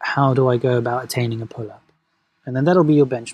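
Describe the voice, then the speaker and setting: A man speaks at a medium pitch with fairly even intonation. His voice is somewhat breathy, with a dark, mellow tone. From London, England (born in Venezuela). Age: 30s. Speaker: movement coach. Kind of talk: casual chat.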